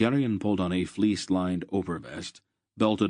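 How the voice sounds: Quiet background behind a natural voice reading aloud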